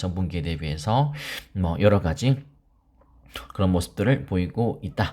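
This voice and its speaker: Here a man talks fairly slowly in a dark, mellow tone. His pitch swings very widely. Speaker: crypto investment youtuber. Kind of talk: market commentary. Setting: studio. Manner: subdued, not speaking loudly.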